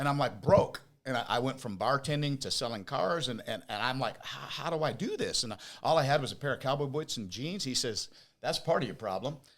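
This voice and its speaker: A man with an ordinary speaking voice, fairly high in pitch, at a fairly quick pace with ordinary pitch variation. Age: 60s. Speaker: business owner. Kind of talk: interview.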